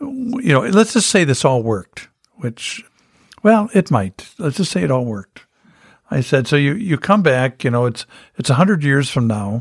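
A fairly high male voice, somewhat breathy, with very wide pitch swings, a dry, close sound with no echo and a very clean recording with a silent background. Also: moderate pace. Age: 60s. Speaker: pastor. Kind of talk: casual religious discussion.

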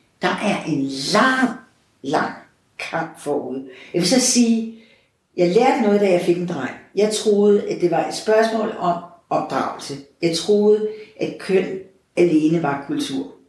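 A woman at medium pitch with lively intonation, a very slow pace and long, frequent pauses, plus audible room echo. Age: 60s. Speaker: parish priest. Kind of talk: interview conversation.

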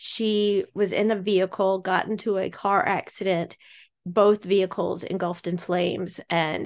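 Over a quiet background, a woman talks in a normal speaking voice at a medium pitch. Her pace is fairly slow and her intonation fairly even. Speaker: podcast host. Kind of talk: casual chat.

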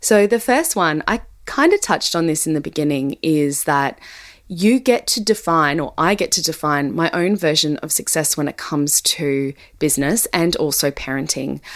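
A woman's warm, very deep, low voice, lively in intonation and moderate in pace. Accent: Australian. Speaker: podcast host, business consultant. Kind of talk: solo podcast talk. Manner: warm, conversational with frequent laughs.

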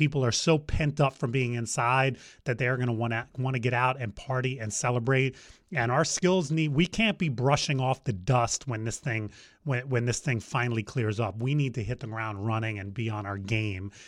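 This man has an ordinary speaking voice, medium in pitch with ordinary pitch variation and an American accent, talking at a moderate pace on a very clean recording with a silent background. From New Jersey. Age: 50s. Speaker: DJ company owner. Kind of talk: interview.

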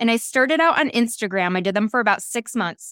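Energetic in tone, a woman speaks at a fairly high pitch. The recording is very clean, dry and close, with a silent background and no echo. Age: middle-aged. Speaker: podcast host and life coach. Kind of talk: solo podcast monologue.

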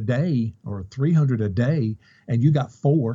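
A man speaks in a dark, mellow tone that is somewhat breathy. The background is quiet. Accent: Kentucky. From Kentucky. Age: 50s. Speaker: online reseller. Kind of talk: interview.

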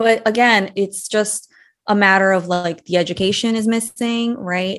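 Against a quiet background, a woman talks at a moderate pace in an ordinary speaking voice with ordinary pitch variation. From US (Brazilian-born, moved at 8). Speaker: money coach, former employment attorney. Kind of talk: interview.

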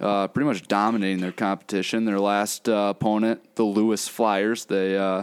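With an American accent and a normal speaking voice, a man talks at a moderate pace in a fairly low pitch with fairly even intonation, recorded very cleanly against a silent background with a dry, close sound and no echo. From Minnesota (Minnetonka). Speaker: college sports podcast co-host. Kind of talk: casual podcast chat.

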